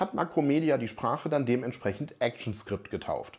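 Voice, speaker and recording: A fairly high-pitched man's voice with vocal fry at a fairly quick pace. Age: 40s. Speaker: software developer and tech educator; tech educator. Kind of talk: tech explainer video. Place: office. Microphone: lapel.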